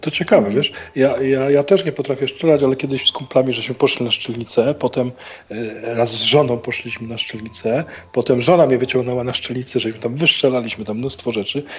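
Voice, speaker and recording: The speech comes at a very fast pace and sounds somewhat breathy. Pitch variation is ordinary. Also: man, medium pitch for a man. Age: 50s. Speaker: stand-in co-host. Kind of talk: casual chat.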